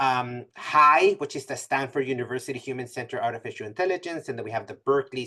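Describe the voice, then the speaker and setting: At a very fast pace, a man speaks in a bright, sharp tone at medium pitch with ordinary pitch variation. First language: not English. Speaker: math professor giving a presentation. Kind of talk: webinar presentation. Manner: many fillers and self-corrections.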